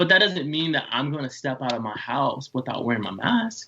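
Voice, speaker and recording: Speaking at a fairly quick pace, a man makes very wide pitch swings. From Tennessee, Chattanooga. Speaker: student and city council candidate. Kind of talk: interview. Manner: loud.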